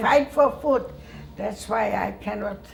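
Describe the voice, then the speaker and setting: A woman's voice comes through with clear background noise underneath. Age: 80s+. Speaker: Holocaust survivor. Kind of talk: interview answer.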